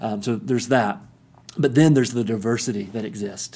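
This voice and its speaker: At a fairly quick pace, a man with an East Tennessee accent talks in a dark, mellow tone. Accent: Southern US (East Tennessee). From US South, East Tennessee (Kingsport). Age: 30s. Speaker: pastor. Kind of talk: interview. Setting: sitting together in the guest's neighborhood.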